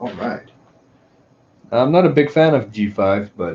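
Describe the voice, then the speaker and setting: A man's somewhat breathy voice with a dark, mellow tone, medium pitch and moderate pace. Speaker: tech live streamer. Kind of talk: live stream chat. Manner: casual, conversational.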